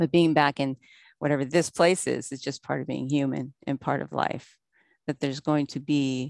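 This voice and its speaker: A woman with a very deep, low pitch speaks at a moderate pace. The sound is dry and close with no echo, over a quiet background. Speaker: recovery meeting speaker. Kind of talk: recovery testimony. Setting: video call.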